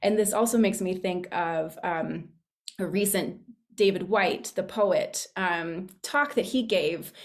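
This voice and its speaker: Speaking at a fairly slow pace, a woman with a plain, everyday voice has a medium pitch. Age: young. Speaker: public speaker with theater background. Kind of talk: sharing in a group discussion.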